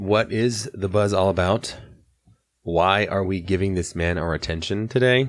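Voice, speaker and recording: Over a very clean recording with a silent background, a man with an American accent speaks at a moderate pace, his fairly low pitch showing ordinary variation. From North Carolina. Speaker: podcast moderator. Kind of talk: scripted narration.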